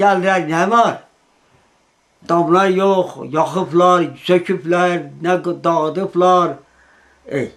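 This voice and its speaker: A man with an eastern Anatolian accent speaks at a very slow pace in a high, flat monotone, leaving long pauses again and again. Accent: Iğdır Azerbaijani Turkish dialect. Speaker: eyewitness. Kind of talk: interview testimony.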